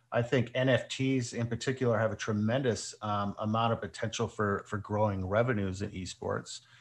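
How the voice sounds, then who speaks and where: At a moderate pace and with hardly any pauses, a man with an unremarkable speaking voice and medium pitch speaks with fairly even intonation over a quiet background. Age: 40s. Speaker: esports team owner. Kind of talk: interview.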